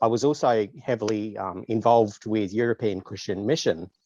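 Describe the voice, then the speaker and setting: A man at a medium pitch, with an Australian accent, at a moderate pace. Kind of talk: casual interview.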